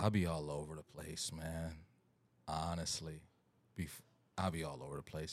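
A man speaks at a moderate pace with long, frequent pauses. His very deep, low voice has a relaxed tone. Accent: American. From US Midwest (Ohio). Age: 40s. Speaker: guest who runs a business and youth group. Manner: joking, relaxed.

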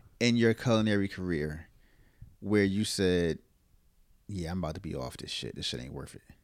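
On a very clean recording with a silent background, a man with a very deep, low voice speaks at a moderate pace, with lively intonation, big swings in loudness and long, frequent pauses. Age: 30s. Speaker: podcast host, cook. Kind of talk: casual chat.

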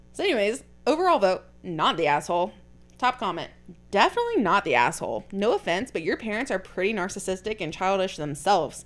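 A woman at medium pitch rushes along at a very fast pace, animated in tone and lively in intonation. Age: 20s. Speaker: podcast host. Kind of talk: casual chat.

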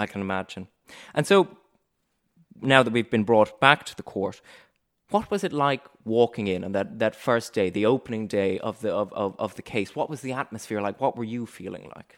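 A man speaks in an ordinary speaking voice at medium pitch and a moderate pace, with ordinary pitch variation, big swings in loudness, and a dry, close sound with no echo on a very clean recording with a silent background. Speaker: podcast host, law-focused interviewer. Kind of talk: formal interview. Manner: formal, articulate.

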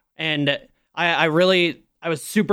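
On a very clean recording with a silent background, a plain, everyday voice moves with ordinary pitch variation. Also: man. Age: 20s. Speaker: Twitch streamer. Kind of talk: casual chat.

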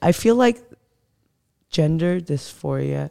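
In a dry, close recording with no echo, a woman with an American accent speaks at a fairly slow pace in a dark, mellow tone. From Glendale, California (Armenian community). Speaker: parent and activist. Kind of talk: casual discussion.

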